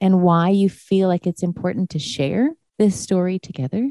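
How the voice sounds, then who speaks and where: With a Canadian accent, a woman speaks at a moderate pace and a medium pitch. Her tone is dark and mellow, and the sound is dry and close with no echo. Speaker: radio host. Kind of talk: interview. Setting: studio.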